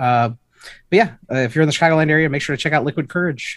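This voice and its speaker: The recording of this man's voice is very clean, and the background is silent. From Chicago, Illinois. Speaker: trivia contestant, IT technician. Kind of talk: casual game-show chat. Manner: hesitant, many fillers.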